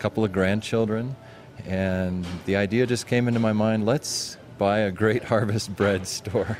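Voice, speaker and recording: A man speaks in an unremarkable speaking voice at fairly low pitch. He moves at a fairly slow pace with fairly even intonation. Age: 60s. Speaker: bakery owner. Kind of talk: interview.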